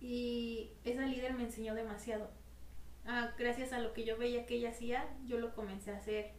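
A woman's fairly high voice, monotone and flat, at a moderate pace and very even loudness, with noticeable background noise and audible room echo. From Mexico, Morelia. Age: 20s. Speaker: church youth group leader and photographer. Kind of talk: casual interview.

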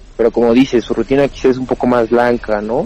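Over noticeable background noise, the speaker keeps a fairly quick pace and a monotone, flat intonation. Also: man. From Pachuca, Mexico. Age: 20s. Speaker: stand-up comedian. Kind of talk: casual chat.

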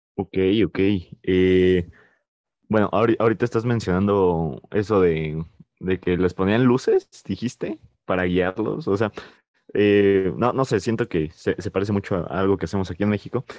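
In a dry, close recording with no echo and a quiet background, a man with a fairly low pitch speaks at a moderate pace, with ordinary pitch variation and long, frequent pauses. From Mexico. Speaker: podcast co-host. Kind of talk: casual chat. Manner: hesitant, many fillers.

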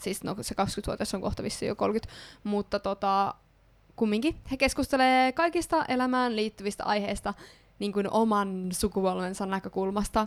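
A woman at medium pitch and a fairly slow pace, with ordinary pitch variation, on a very clean recording with a silent background. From Ostrobothnia, Finland. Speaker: podcast host. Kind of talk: casual chat. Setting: studio.

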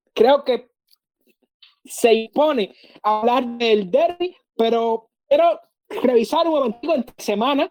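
This woman's voice sits high, with lively intonation and a very slow pace broken by long, frequent pauses. The sound is dry and close, with no echo. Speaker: podcast host. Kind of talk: sports commentary intro.

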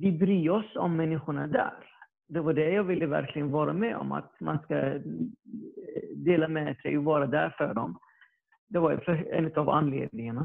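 A man speaks at a fairly slow pace. His voice is fairly high, with ordinary pitch variation. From Iraq. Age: 30s. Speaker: electronics production worker. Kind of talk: testimony. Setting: video call. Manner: halting.

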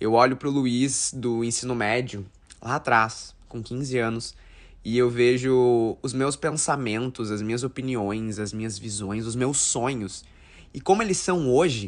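This man speaks fairly slowly at a medium pitch, with ordinary pitch variation. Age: 20s. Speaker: podcast host. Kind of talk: casual monologue.

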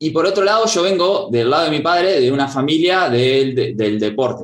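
The speaker has a Rioplatense accent and very wide pitch swings. The pace is fairly slow. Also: man. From Argentina, Buenos Aires province. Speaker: karate teacher and former elite competitor. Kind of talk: interview conversation.

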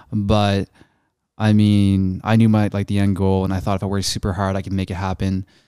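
A man's fairly low, dark, mellow voice with a slight Canadian accent, monotone and flat in intonation, at a fairly quick pace, in a very clean recording with a silent background and a dry, close sound with no echo. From Canada. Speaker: social media content creator. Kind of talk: casual chat.

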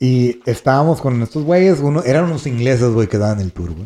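A man talks at a moderate pace with a medium pitch. His tone is dark and mellow. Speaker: traveler recounting a World Cup trip. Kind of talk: casual storytelling chat. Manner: animated, laughing.

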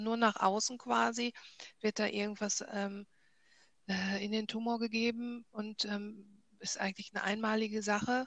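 This woman has a fairly high pitch. She speaks in a monotone, flat way. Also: dry, close sound with no echo. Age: 40s. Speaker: cancer patient. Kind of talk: casual interview.

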